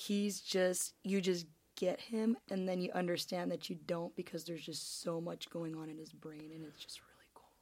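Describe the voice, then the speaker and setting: In an ordinary speaking voice with a fairly low pitch, a woman talks at a moderate pace with fairly even intonation and big swings in loudness. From Canada. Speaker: podcast co-host. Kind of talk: casual chat.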